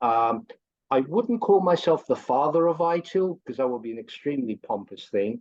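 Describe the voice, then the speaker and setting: A man speaks with a strong English accent at a fairly high pitch. His pitch swings very widely, and his pace is moderate. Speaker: course instructor, AI consultant. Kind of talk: promotional video call chat.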